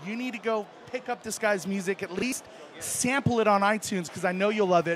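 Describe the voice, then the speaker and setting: Noticeable background noise sits behind this man's voice. He speaks in a high pitch with an animated tone. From New Mexico. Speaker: live stream host. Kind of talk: casual interview.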